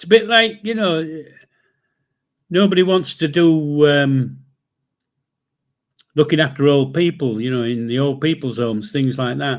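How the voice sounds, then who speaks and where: A man in a Yorkshire accent talks at a fairly slow pace with a fairly high pitch and lively intonation. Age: 70s. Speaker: livestream host. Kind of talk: casual chat. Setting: live stream. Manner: blunt, sweary.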